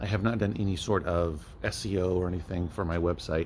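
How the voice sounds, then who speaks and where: Over light background noise, a man talks in a very deep, low voice that is somewhat breathy. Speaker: book reseller. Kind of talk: casual vlog chat. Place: shop. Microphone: phone near.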